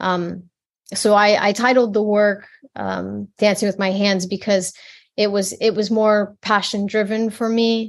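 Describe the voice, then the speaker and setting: A woman speaks at a fairly slow pace with a medium pitch. Her intonation is monotone and flat, over a quiet background. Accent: American. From US Midwest, rural Michigan. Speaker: fashion designer and textile artist. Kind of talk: interview. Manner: halting, many fillers and repeated words.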